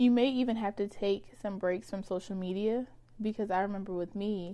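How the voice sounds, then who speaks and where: A woman speaks in a dark, mellow tone. Her pace is moderate and her intonation fairly even. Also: medium pitch for a woman. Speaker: podcast host. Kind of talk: solo podcast monologue. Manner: casual, rambling.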